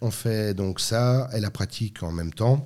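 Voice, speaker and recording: In a very clean recording with a silent background, a man speaks in a normal speaking voice at a fairly low pitch with ordinary pitch variation. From France. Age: 40s. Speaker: master baker and entrepreneur. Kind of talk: interview.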